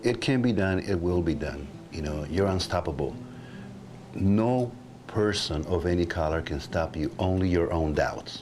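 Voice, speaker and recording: A man with a Mexican accent and a very deep, low pitch, amid noticeable background noise. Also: ordinary pitch variation, moderate pace. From Mexico. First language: Spanish. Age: 60s. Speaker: guitarist. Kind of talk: interview answer.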